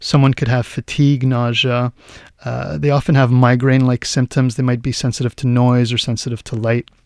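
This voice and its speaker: This man has an unremarkable speaking voice at a medium pitch, talking at a fairly quick pace with fairly even intonation in a dry, close sound with no echo. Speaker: chiropractor. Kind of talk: expert interview on radio. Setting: radio studio.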